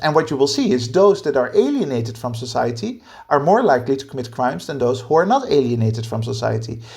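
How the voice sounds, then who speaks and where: Speaking at a very fast pace with hardly any pauses, a man's voice carries vocal fry. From Netherlands. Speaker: podcast co-host. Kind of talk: casual discussion.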